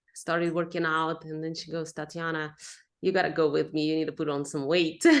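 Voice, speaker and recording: A woman with a Russian accent speaks in a monotone, flat delivery. Her fairly low voice sits over a quiet background. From Russia, moved to Texas at fifteen. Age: 30s. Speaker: pro bikini athlete. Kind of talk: podcast interview.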